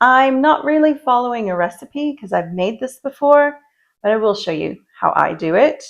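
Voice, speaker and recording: A soft-spoken woman talks at a moderate pace with lively intonation. The background is quiet. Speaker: lifestyle vlogger. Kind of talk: casual talk to camera.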